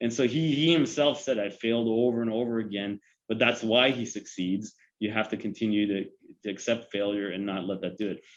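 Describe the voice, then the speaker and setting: A man's medium-pitched voice with a Canadian accent, ordinary pitch variation and a fairly quick pace. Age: 40s. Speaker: police chief. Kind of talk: podcast interview. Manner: halting.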